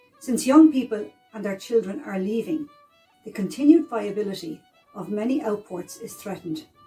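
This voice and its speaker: Over music in the background, a woman with an Irish accent speaks at a moderate pace with a fairly high pitch and very wide pitch swings. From South East of Ireland. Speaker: historian. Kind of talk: educational history narration.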